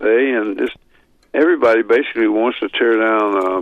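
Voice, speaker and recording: With noticeable background noise behind him, a man speaks at a fairly slow pace. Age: 80s+. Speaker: author on Bible prophecy. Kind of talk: radio interview.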